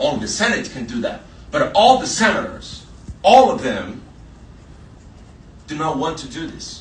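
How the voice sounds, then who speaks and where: Amid noticeable background noise and audible room echo, the speech moves at a moderate pace with long, frequent pauses, very wide pitch swings and big swings in loudness. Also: man, high pitch for a man. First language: Portuguese. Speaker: journalist. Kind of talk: panel talk. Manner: halting.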